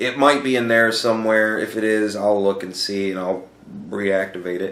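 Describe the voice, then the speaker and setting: This man talks at a moderate pace with a fairly low pitch and ordinary pitch variation, and audible room echo surrounds his voice. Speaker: YouTuber answering viewer questions. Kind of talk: casual Q&A monologue. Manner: halting, repeats words.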